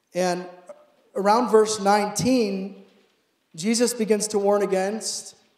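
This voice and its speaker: Speech comes at a very slow pace. There is audible room echo over a quiet background. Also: man. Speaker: preacher. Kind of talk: sermon. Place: church. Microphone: handheld.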